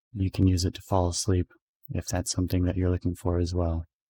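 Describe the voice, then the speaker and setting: The speaker is soft-spoken and somewhat breathy, with a dark, mellow tone. The sound is dry and close with no echo, on a very clean recording with a silent background. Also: man. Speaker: ASMR channel host. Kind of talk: soft-spoken ASMR ramble to camera. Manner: soft-spoken, relaxed.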